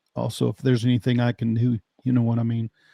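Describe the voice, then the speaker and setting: Speaking at a fairly quick pace, a man with a medium pitch has a dark, mellow tone and an American accent. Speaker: podcast host. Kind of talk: podcast host talking with guest.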